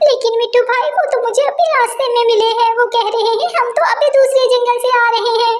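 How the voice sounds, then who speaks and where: A woman does a cartoonish character voice at an extremely high pitch, fairly quick and with hardly any pauses. Noticeable background noise is present. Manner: emotional, plaintive.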